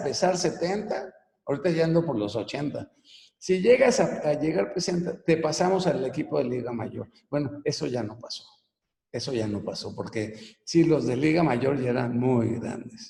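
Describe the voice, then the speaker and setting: With lively intonation, a man speaks at a moderate pace in a fairly high, dark, mellow and somewhat breathy voice. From Venezuela (Caracas), then Mexico from age 12. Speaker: business coach and author. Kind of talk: personal life story in a webinar talk. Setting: online live broadcast. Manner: casual, conversational.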